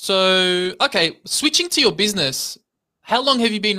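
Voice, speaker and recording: On a very clean recording with a silent background, the speaker uses a raised, projected voice at a moderate pace. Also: man. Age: 30s. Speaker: podcast host. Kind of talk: casual interview. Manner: halting.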